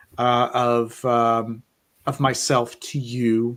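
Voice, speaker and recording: The recording is very clean, with a silent background. A man talks at a medium pitch. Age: 40s. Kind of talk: casual chat. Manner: halting.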